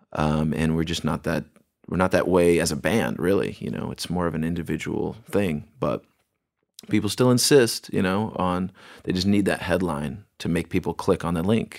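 Over a very clean recording with a silent background, a man with a very deep, low pitch and vocal fry speaks at a fairly quick pace with ordinary pitch variation. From Bremerton, Washington, US Pacific Northwest. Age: 30s. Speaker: punk band singer. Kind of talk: casual interview. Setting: studio.

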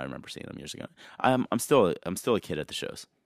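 A man with an American accent and vocal fry swings his pitch very widely. The recording is very clean with a silent background and a dry, close sound with no echo. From New York area / New Jersey. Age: 30s. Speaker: tour manager and merch seller. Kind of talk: casual interview chat.

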